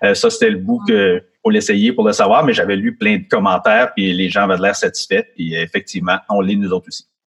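The pitch swings very widely, with vocal fry throughout. The pace is fairly quick. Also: man, fairly high pitch for a man. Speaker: guitarist and music school owner. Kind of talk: interview.

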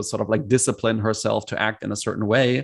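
A man with a German accent speaks at a medium pitch. His intonation is monotone and flat, over a quiet background. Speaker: executive coach. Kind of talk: interview conversation. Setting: video call.

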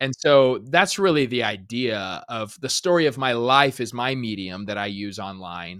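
A man speaks in a normal speaking voice with an American accent. His medium-pitched voice has lively intonation. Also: moderate pace, very clean recording, silent background. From Arizona. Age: 30s. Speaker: pastor. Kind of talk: casual chat.

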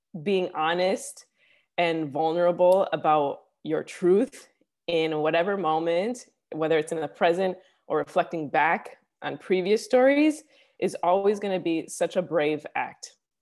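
On a very clean recording with a silent background, a woman with an American accent speaks at a fairly slow pace and medium pitch, using lively intonation and long, frequent pauses. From Chicago. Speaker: storytelling coach and comedic performer. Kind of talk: interview conversation. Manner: hesitant, many fillers.

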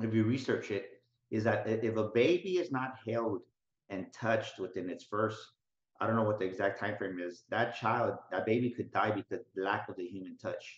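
At a moderate pace and medium pitch, a man with an unremarkable speaking voice talks with ordinary pitch variation. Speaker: motivational speaker and business coach. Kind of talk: interview.

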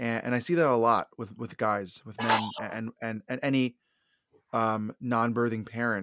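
A man speaks in a normal speaking voice, medium in pitch, at a moderate pace with fairly even intonation. The sound is dry and close, with no echo. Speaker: therapist and podcaster. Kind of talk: casual interview chat.

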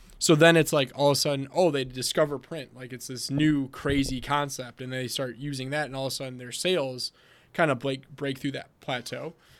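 A man's fairly high, monotone voice with an American accent, at a fairly quick pace with big swings in loudness, in a very clean recording with a silent background. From Wisconsin. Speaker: printing company sales and marketing director. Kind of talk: casual interview chat.

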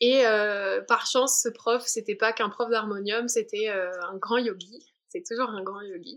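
Her delivery is fairly slow, fairly high in pitch and fairly even in intonation, with big swings in loudness. This woman is heard on a very clean recording with a silent background. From southern France, Alpes-Maritimes. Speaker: spiritual traveler, mantra singer. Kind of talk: podcast interview. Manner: halting, many repetitions.

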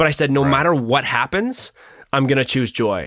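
Recorded very cleanly with a silent background, a normal speaking voice moves at a moderate pace with ordinary pitch variation. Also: man. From Ontario, Canada. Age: 20s. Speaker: photographer and filmmaker. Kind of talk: casual chat.

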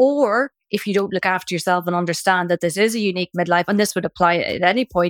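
A woman with a Northern Irish accent speaks at a fairly quick pace. The sound is dry and close, with no echo. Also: very clean recording, silent background. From Northern Ireland, Belfast. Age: 50s. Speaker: midlife coach and author. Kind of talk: interview conversation. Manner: animated.

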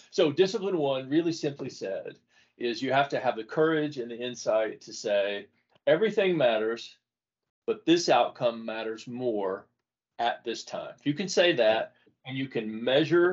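A man with an unremarkable speaking voice, lively intonation, big swings in loudness and a moderate pace. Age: 60s. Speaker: author and former CEO. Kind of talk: casual interview conversation.

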